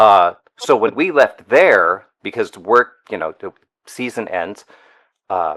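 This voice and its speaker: A man's speech at a fairly slow pace with long, frequent pauses, in dry, close sound with no echo. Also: big swings in loudness. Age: 50s. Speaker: animation artist. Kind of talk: casual interview chat.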